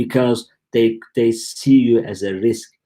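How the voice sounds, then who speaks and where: A man's dark, mellow tone at medium pitch, with a Turkish accent and ordinary pitch variation. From Turkey. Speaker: e-commerce company founder. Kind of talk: live stream Q&A. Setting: live stream from home. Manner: casual, halting.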